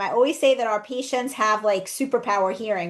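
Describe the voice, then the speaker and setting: Fairly even intonation at a fairly quick pace. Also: woman. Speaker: dental practice coach. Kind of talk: podcast interview. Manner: fast.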